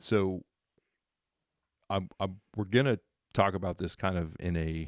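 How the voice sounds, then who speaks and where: Very deep, low male voice at a fairly slow pace, with ordinary pitch variation and a dry, close sound with no echo. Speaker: podcast co-host. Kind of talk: personal testimony. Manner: passionate; halting, stuttering.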